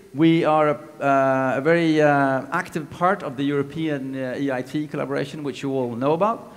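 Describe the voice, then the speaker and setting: A man speaks at a fairly high pitch with ordinary pitch variation. Audible room echo surrounds his voice. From Greece. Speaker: technology transfer manager and business coach. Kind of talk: conference talk. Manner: fast; energetic.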